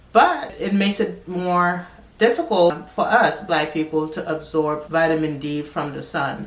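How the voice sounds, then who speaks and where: At a fairly slow pace, a woman speaks at a fairly low pitch with ordinary pitch variation. There is noticeable background noise. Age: 40s. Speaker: lifestyle and wellness youtuber. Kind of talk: personal health vlog.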